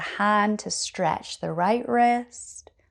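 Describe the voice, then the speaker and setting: A woman speaks with a Scottish accent. Her tone is calm and soothing. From Scotland. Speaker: yoga teacher. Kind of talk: guided yoga class instruction. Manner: calm, soothing.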